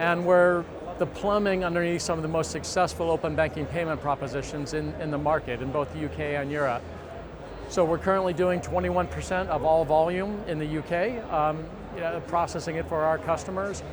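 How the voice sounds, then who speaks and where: Heard over noticeable background noise and audible room echo, a man speaks with an American accent at a fairly high pitch. His pace is fairly quick and his intonation fairly even. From United States. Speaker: company CEO. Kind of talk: conference interview. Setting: industry conference.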